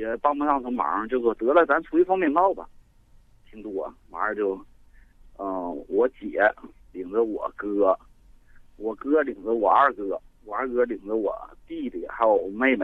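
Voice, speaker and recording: A man's fairly slow speech with long, frequent pauses and big swings in loudness. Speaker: caller. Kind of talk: phone-in storytelling. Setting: phone call.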